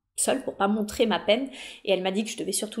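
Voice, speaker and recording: Her pace is very fast. The woman's pitch is medium. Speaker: hypnotherapist and psychedelic therapy youtuber. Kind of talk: personal testimony monologue. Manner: hesitant, many fillers and repetitions.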